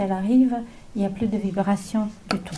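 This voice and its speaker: Somewhat breathy female speech in a dark, mellow tone, with a slight Slavic accent, ordinary pitch variation and audible room echo. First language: not French; mainly English-speaking (speaking French). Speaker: naturopath. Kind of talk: lecture. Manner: halting, many hesitations.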